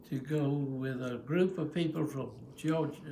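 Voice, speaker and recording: The man has a fairly high pitch and fairly even intonation. He speaks at a fairly slow pace. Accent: Southern US. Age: 80s+. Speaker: retired Baptist pastor. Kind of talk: casual family conversation.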